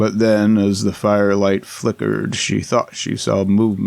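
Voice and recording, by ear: A natural voice reading aloud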